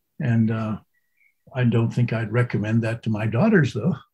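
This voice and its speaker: This man has an American accent and a medium pitch. His voice is somewhat breathy. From New England, US. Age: 80s+. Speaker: Zen master. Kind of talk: interview. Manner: halting.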